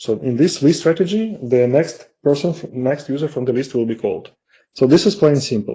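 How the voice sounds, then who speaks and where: A man with a non-native accent, a dark, mellow, somewhat breathy tone, lively intonation and a moderate pace. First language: non-native English speaker. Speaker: marketing executive presenting software. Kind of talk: webinar product demo. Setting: online webinar. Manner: halting, many fillers.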